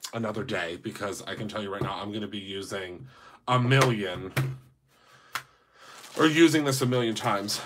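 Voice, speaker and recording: Using a put-on character voice, a raspy man speaks at a fairly low pitch and a moderate pace, with ordinary pitch variation, big swings in loudness, and long, frequent pauses. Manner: stumbling, hesitant, stuttering.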